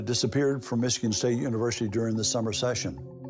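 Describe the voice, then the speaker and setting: Fairly even intonation runs through the speech, with music in the background. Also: man. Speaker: private investigator. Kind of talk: interview answer.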